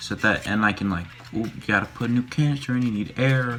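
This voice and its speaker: A man with a medium pitch and ordinary pitch variation speaks against noticeable background noise. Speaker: YouTuber making a costume mask. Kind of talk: casual tutorial vlog. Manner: quiet, hushed; hesitant, many fillers.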